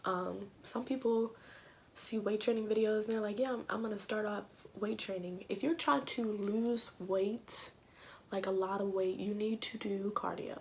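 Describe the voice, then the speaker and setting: A woman whispers quietly at a moderate pace. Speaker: fitness vlogger. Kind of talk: casual talk to camera. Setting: home recording without proper mic. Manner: quiet, near whisper.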